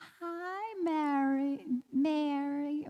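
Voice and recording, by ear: A woman puts on a character voice with a Southern US accent. Her pitch sits high. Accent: southern American.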